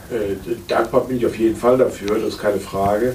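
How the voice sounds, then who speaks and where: Somewhat breathy, a man talks at a medium pitch and moderate pace with fairly even intonation. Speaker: physician. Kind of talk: interview. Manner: hesitant.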